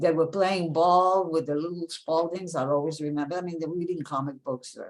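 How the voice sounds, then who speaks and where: Fairly quick speech from a woman, fairly low in pitch, with fairly even intonation. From France, Paris; raised in New York from about age 11. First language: French. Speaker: author and philanthropy professional. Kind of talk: interview.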